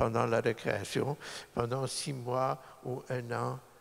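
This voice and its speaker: The pace of this man's speech is very slow. His voice sits at a medium pitch. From Poland, then Montreal from age 9. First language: Polish (speaking French). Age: 60s. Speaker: lawyer. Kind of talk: public talk. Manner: halting.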